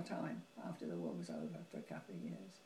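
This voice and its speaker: Over noticeable background noise, a woman talks at a very fast pace in a Cockney accent. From London. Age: 80s+. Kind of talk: interview answer.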